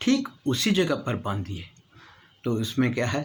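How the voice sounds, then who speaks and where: Lively intonation in a somewhat breathy male voice. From India, born in Karnataka, educated in North India. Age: 70s. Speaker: traditional knowledge teacher, Sanskrit scholar. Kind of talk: educational talk to camera.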